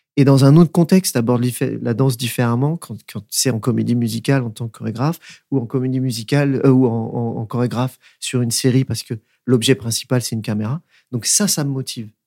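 In a very clean recording with a silent background and a dry, close sound with no echo, a man speaks at medium pitch with a dark, mellow tone and ordinary pitch variation. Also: fairly quick pace. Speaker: dancer and choreographer. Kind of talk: casual interview. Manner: hesitant, many fillers.

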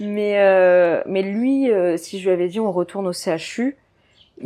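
In a very clean recording with a silent background, a woman talks at a medium pitch with a dark, mellow tone and ordinary pitch variation. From northern France, Dunkirk. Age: 20s. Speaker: physiotherapist and mother. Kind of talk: personal testimony interview. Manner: casual, hesitant with fillers.

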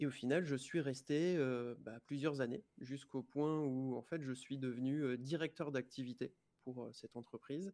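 A man's dark, mellow tone at a fairly slow pace. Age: 30s. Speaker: life coach. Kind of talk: interview. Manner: halting.

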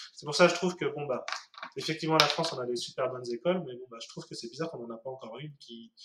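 A man talking very fast at a fairly high pitch, with noticeable background noise. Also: ordinary pitch variation, big swings in loudness. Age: 30s. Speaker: 3D artist. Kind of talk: casual interview.

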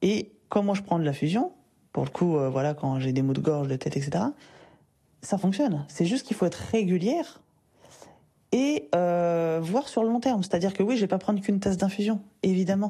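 A woman speaks in a dark, mellow, somewhat breathy voice at a medium pitch with lively intonation. Her pace is moderate with long, frequent pauses, her loudness very even, against a quiet background. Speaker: personal development coach and podcast host. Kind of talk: solo podcast monologue, advice talk. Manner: casual, conversational with fillers.

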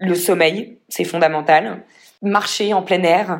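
On a very clean recording with a silent background, a woman with a fairly low pitch speaks at a fairly slow pace. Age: 30s. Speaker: entrepreneur. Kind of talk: casual chat.

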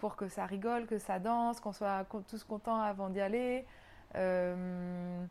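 An ordinary speaking voice from a woman, medium in pitch, with fairly even intonation. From New Caledonia, raised sailing around the world. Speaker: yoga teacher and journalist. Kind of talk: interview.

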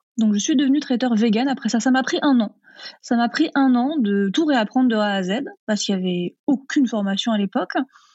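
Speaking at a fairly quick pace, a woman with a high voice keeps her loudness very even while her pitch varies in an ordinary way. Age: 30s. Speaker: vegan cooking author and trainer. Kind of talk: interview.

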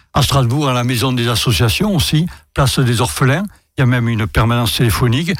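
A somewhat breathy man in a southern French accent, very fast and with lively intonation. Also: medium pitch for a man. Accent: southern French lilt. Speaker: consumer association president. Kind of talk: radio interview. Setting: radio studio with student audience.

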